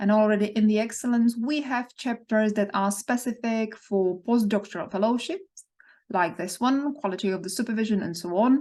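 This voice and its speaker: Here a woman talks at a moderate pace in an ordinary speaking voice. Her pitch is fairly high and shows ordinary pitch variation. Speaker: research funding consultant. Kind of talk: tutorial.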